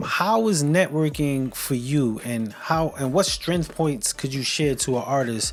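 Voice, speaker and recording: Against noticeable background noise, a man talks at a fairly slow pace, medium in pitch, with lively intonation. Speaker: radio show host. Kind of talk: podcast interview host. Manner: upbeat.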